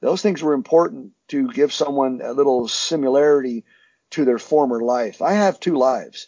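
A man with an American accent and an unremarkable speaking voice talks at a moderate pace with a fairly high pitch and lively intonation. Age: 60s. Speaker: security contractor, former special forces soldier. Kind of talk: interview.

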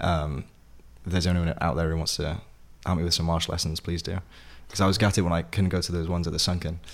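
A man with a South Wales accent, a very deep, low pitch, very fast delivery broken by long, frequent pauses, and fairly even intonation. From Wales, Vale of Glamorgan (Sully, near Penarth). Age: 20s. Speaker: actor. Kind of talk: interview.

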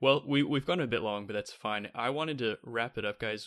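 A man talks at a fairly quick pace with ordinary pitch variation. It is an ordinary speaking voice. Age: 20s. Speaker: podcast host. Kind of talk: casual chat.

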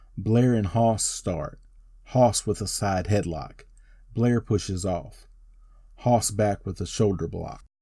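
In an American accent, the speaker uses a dark, mellow tone, somewhat breathy, at a very slow pace. The intonation stays fairly even, broken by long, frequent pauses. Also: man, fairly low pitch for a man. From North Carolina. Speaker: wrestling podcast host. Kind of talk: match play-by-play recap. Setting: home studio.

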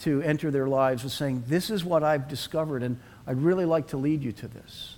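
A man talks with a Boston accent. His pace is fairly quick. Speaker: pastor. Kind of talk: sermon. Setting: church.

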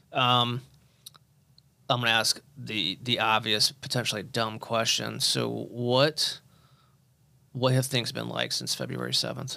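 A man with a US Midwestern accent, fairly slow, with long, frequent pauses. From Indianapolis area, Indiana. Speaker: podcast host, cancer survivor. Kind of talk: podcast interview. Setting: studio.

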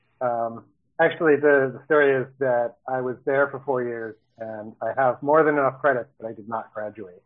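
An American man talks with an ordinary speaking voice at a moderate pace. His pitch is medium, and his intonation stays fairly even. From Baltimore, Maryland. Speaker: software development manager. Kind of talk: casual interview.

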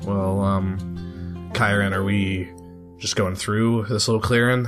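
Clear music plays behind a put-on character voice that sounds gravelly and gruff, delivered at a fairly slow pace. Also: man, fairly low pitch for a man. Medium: actual play. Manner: casual, easygoing.

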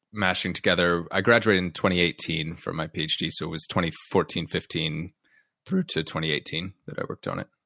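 With an American accent, a man speaks in a very deep, low pitch and a bright, sharp tone, using ordinary pitch variation in a dry, close sound with no echo. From United States. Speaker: podcast host and company founder, guest on another show. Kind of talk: casual interview conversation.

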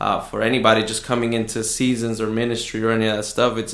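A man talks very fast in a flat monotone. The room echoes audibly, and background noise is noticeable. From Southwest Houston, Texas (moved from Mexico at nine). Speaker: pastor. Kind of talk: casual interview. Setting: studio, face to face.

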